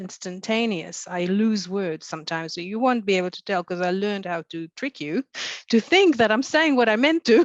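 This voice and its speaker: Against a quiet background, a woman with a non-native accent speaks in lively intonation, the sound dry and close with no echo. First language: not English. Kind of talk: panel discussion. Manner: halting.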